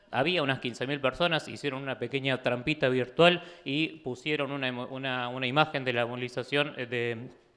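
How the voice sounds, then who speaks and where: A fairly quick pace with ordinary pitch variation. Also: man. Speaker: author and political activist. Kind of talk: book presentation talk. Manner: fast; halting, many fillers and restarts.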